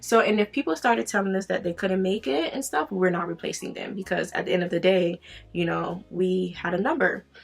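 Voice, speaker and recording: A woman's medium-pitched voice at a fairly quick pace, with ordinary pitch variation and noticeable background noise. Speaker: beauty vlogger. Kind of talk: casual chat while doing makeup. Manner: fast.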